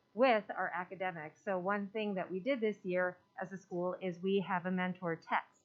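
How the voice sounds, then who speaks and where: A woman speaks at a moderate pace. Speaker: elementary school principal. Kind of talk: report at a school board meeting. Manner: loud; animated.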